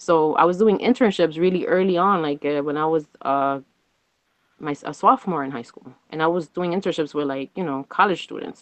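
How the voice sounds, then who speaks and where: Here a woman has an ordinary speaking voice, fairly low in pitch with ordinary pitch variation. Her pace is fairly quick, and her loudness swings widely. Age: 30s. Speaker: interview guest. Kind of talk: casual chat.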